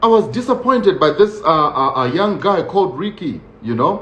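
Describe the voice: With lively intonation and a fairly bright tone, a man talks at a moderate pace amid audible room echo.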